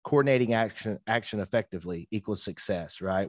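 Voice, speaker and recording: A man with a Southern US accent in a fairly low pitch, very fast pace, dry and close sound with no echo. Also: quiet background. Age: 30s. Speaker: entrepreneur and business consultant. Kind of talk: casual interview. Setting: video call.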